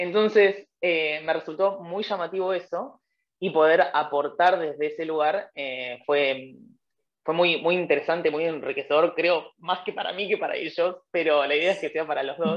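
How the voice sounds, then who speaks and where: A woman speaks at a moderate pace, her fairly low pitch showing ordinary variation. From Argentina. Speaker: former language assistant. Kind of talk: webinar panel interview. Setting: online webinar. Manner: hesitant, many fillers.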